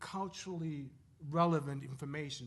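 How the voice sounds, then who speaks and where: A man speaks with a non-native accent. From Zimbabwe. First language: not English. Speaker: professor. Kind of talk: panel talk. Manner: halting.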